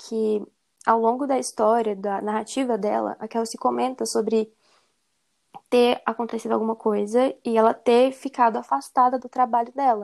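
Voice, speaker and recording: A woman speaks in a normal speaking voice, her fairly high pitch carried on fairly even intonation. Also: moderate pace. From Brazil, Belo Horizonte, Minas Gerais. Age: 20s. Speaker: podcast host. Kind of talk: casual chat.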